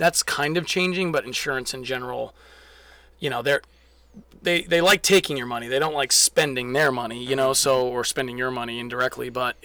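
It's a normal speaking voice, a man at medium pitch with ordinary pitch variation and a dry, close sound with no echo. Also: fairly quick pace. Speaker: athletic trainer and manual therapist. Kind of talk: casual podcast interview.

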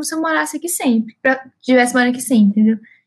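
This woman speaks with a high pitch. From Minas Gerais, Brazil (Ipatinga). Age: 20s. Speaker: podcast co-host, student and DJ. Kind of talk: casual chat.

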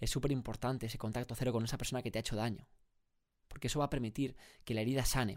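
Very rapid male speech, captured cleanly against a silent background. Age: 20s. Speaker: podcast host. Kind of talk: solo motivational monologue. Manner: animated.

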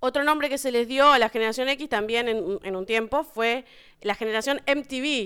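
This woman has a high pitch and a bright, sharp tone, speaking at a moderate pace with ordinary pitch variation. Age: 30s. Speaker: podcast host. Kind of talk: casual chat.

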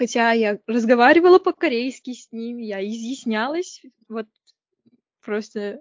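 Her voice sits fairly high. She takes her words fairly slowly. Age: 20s. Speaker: university student studying Korean. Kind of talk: casual interview chat.

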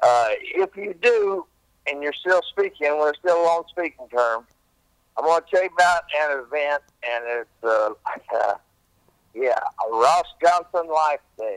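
Lively intonation marks this fairly high-pitched man, who speaks at a fairly slow pace with long, frequent pauses in a dry, close sound with no echo. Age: 60s. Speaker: musician leaving a voicemail. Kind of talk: voicemail message. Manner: halting.

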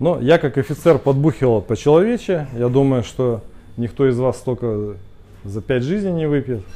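A man talks at a moderate pace and medium pitch, his tone dark and mellow. His intonation is lively, and the background is quiet. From Russia, Khabarovsk. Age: 50s. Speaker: speaker club organizer, entrepreneur. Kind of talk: casual talk to a small group. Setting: cafe.

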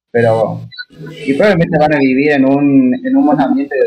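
In a Rioplatense accent, a man with a dark, mellow tone and fairly high pitch speaks at a moderate pace with ordinary pitch variation. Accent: Argentine Rioplatense Spanish. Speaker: podcast guest. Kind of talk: casual chat.

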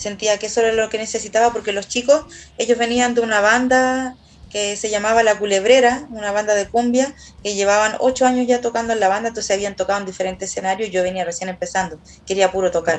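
Talking at a very fast pace, a woman with a Chilean accent uses a fairly high pitch and fairly even intonation. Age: 30s. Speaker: singer and songwriter. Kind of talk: casual chat.

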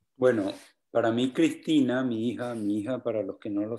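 A dark, mellow male voice with fairly even intonation sits on a very clean recording against a silent background. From Colombia, Valledupar (Cesar). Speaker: vallenato songwriter. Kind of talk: casual chat.

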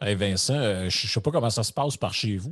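Over a quiet background, a man speaks with a fairly low pitch and a somewhat breathy quality. His intonation is lively. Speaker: podcast co-host. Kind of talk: casual chat.

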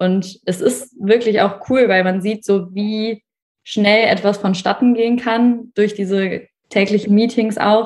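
Very slow and monotone, a woman speaks in a medium pitch with flat intonation. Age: 20s. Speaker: university student and working student. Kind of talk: casual interview chat.

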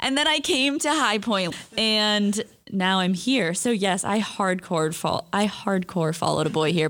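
A woman's normal speaking voice with an American accent, medium in pitch, fairly slow, at very even loudness. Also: lively intonation. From California, San Francisco area. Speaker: college student podcast host. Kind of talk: casual chat.

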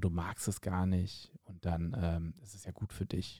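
Dry and close with no echo, this recording is very clean with a silent background. The man's voice has a dark, mellow tone. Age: 40s. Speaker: podcast host and stand-up comedian. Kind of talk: casual chat.

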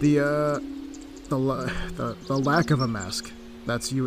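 There is noticeable background noise and audible room echo. A man with an American accent talks at a fairly slow pace. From Connecticut, US. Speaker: podcast host. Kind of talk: reflective monologue. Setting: outdoors, walking in an autumn forest. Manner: halting, frequent repetitions and fillers.

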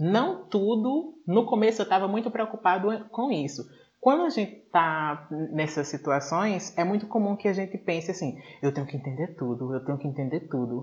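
High pitch from a male speaker, with very wide swings up and down. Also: moderate pace. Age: 20s. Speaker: English teacher and podcast host. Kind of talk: casual interview chat.

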